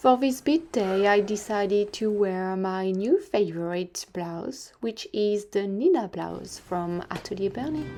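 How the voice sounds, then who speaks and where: With music in the background, a woman in a French accent talks at a fairly slow pace and medium pitch, with ordinary pitch variation and hardly any pauses. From France. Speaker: sewing vlogger. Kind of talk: voice-over narration.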